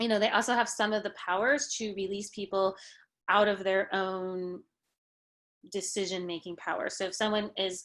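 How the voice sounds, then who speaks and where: In a quiet background, a woman with a plain, everyday voice talks at a moderate pace, her medium pitch held in fairly even intonation. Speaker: guest speaker, journalist and lawyer. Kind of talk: workshop lecture with Q&A. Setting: video call.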